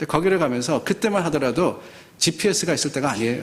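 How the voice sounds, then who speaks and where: A man talks at a very fast pace with a fairly high pitch, lively intonation and vocal fry. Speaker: pastor. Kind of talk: sermon. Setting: church.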